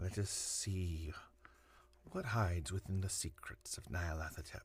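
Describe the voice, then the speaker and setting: Somewhat breathy, a very deep, low male voice at a fairly slow pace. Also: ordinary pitch variation. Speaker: voice actor. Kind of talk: casual talk to camera.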